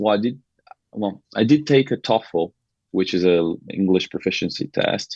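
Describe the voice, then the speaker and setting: Speaking with a Brazilian accent, a man with a fairly low pitch and ordinary pitch variation talks at a moderate pace. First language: Portuguese. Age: 20s. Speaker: podcast guest, former college soccer player. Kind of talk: casual interview chat. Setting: podcast studio. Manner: halting, frequent repetitions.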